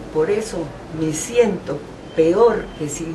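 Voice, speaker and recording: Noticeable background noise and audible room echo frame a woman's fairly low voice. She speaks at a very slow pace with ordinary pitch variation. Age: 70s. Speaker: landowner filing a complaint. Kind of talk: testimony. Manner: halting, many repetitions.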